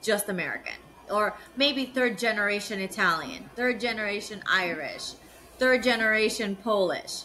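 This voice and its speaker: Against noticeable background noise, a woman speaks with a fairly high pitch. Her pace is moderate and her pitch varies in an ordinary way. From South Florida, Miami (moved from Nicaragua at 7). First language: Spanish. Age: 40s. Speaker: business development analyst. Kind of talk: interview conversation.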